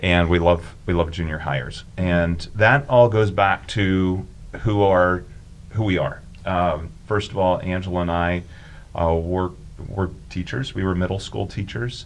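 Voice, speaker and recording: A man's very deep, low voice with ordinary pitch variation, at a fairly slow pace. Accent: American. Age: 60s. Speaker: youth ministry volunteer and former teacher. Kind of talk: casual chat.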